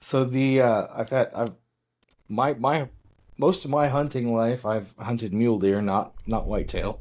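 A man with an unremarkable speaking voice in an American accent, at a medium pitch and a fairly slow pace with ordinary pitch variation, on a very clean recording with a silent background. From western Nebraska. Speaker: podcast host. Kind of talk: casual chat.

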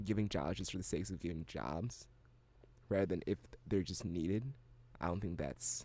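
This man's voice has vocal fry and a dark, mellow tone. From Ghana. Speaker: university student, radio DJ. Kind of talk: casual conversation. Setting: radio studio.

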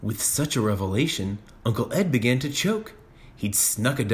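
This is a reading voice that sounds unforced.

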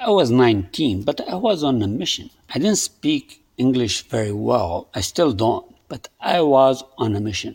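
A man with a strong non-native accent speaks at a fairly slow pace. His intonation is lively. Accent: thick foreign. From immigrant to the US from a developing country. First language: non-English homeland language. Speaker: podcaster. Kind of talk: personal storytelling monologue. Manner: halting.

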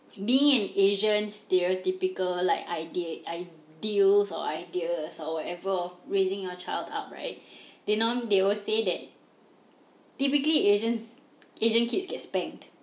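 In a normal speaking voice, a woman talks at a fairly slow pace with a medium pitch and ordinary pitch variation. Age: 20s. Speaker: podcast co-host. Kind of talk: casual chat.

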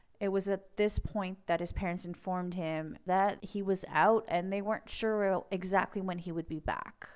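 A woman's medium-pitched voice, monotone and flat in intonation, with hardly any pauses. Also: moderate pace. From Montreal, Quebec. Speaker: podcast host. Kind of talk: true crime narration.

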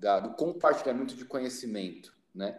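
In a plain, everyday voice, a man talks at a moderate pace with a medium pitch. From Brazil, São Paulo city. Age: 30s. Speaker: social project leader and missionary. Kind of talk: podcast interview.

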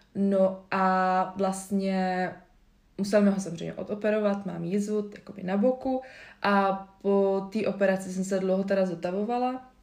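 A woman talks with monotone, flat intonation, and audible room echo surrounds her voice. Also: medium pitch for a woman, moderate pace. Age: 20s. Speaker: yoga instructor and nutrition advisor. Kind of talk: casual interview. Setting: recorded at guest's home. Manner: hesitant, many fillers.

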